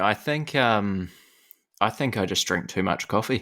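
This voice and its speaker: With a New Zealand accent, a man speaks at a fairly slow pace in a bright, sharp tone, in a very clean recording with a silent background. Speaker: podcast host. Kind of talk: casual chat. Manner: trailing off at sentence ends.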